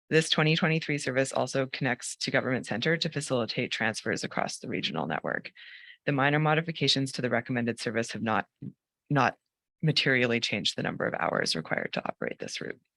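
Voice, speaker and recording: A man with a medium-pitched voice talks very fast with lively intonation, vocal fry and a bright, sharp tone, recorded dry and close with no echo on a very clean track with a silent background. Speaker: transit planning presenter. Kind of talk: formal presentation to a board. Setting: hybrid board meeting in commission office.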